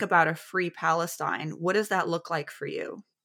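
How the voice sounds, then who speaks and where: A woman with a normal speaking voice, medium pitch, fairly even intonation and a moderate pace, in a very clean recording with a silent background and a dry, close sound with no echo. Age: 30s. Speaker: podcast host. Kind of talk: interview.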